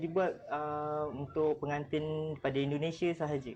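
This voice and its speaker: This man has an unremarkable speaking voice. He talks at a fairly high pitch and a fairly slow pace. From Malaysia, Melaka (Jasin). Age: 20s. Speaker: makeup artist. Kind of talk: live demo chat.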